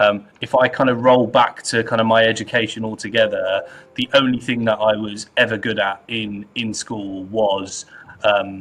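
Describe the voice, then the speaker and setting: With a British accent, a man talks at a moderate pace in a medium pitch, his intonation monotone and flat, over noticeable background noise. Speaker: data executive. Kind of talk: interview. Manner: repetitive, halting.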